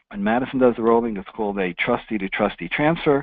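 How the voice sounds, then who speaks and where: Very fast speech comes from a man with a New York accent. His pitch is medium, with ordinary variation. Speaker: financial services presenter and author. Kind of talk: webinar presentation.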